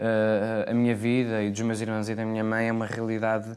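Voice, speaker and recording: Talking at a fairly quick pace, a man speaks with a medium pitch. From Portugal, Porto. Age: 20s. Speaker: actor. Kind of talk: interview. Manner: hesitant, many fillers.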